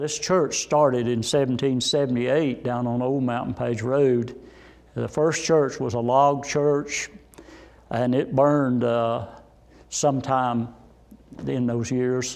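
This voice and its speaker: In a Southern Appalachian accent, a man with a medium pitch speaks at a very slow pace with fairly even intonation. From Saluda, North Carolina. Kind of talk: oral history interview. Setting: inside a church.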